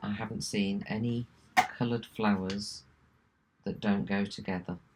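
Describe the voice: A woman speaks at an extremely low pitch and a fairly slow pace. Her slightly mellow tone has a slightly husky edge and vocal fry.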